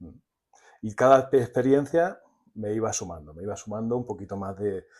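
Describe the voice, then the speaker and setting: Moderate pace, ordinary pitch variation and big swings in loudness. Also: man, fairly low pitch for a man. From Spain, Murcia region (Águilas). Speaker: storyteller and psychotherapist. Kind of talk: podcast interview.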